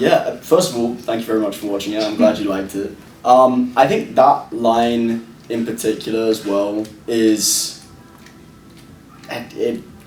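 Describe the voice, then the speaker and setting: With a slight British accent, a man talks at a medium pitch with fairly even intonation and long, frequent pauses, amid noticeable background noise and audible room echo. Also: fairly slow pace. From London, England. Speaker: actor and producer. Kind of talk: interview.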